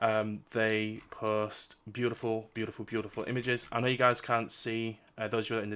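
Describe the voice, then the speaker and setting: A man speaks loudly at a medium pitch with a bright, sharp tone. The recording is very clean, with a silent background. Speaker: streamer interviewing game developers. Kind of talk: live stream chat. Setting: live stream.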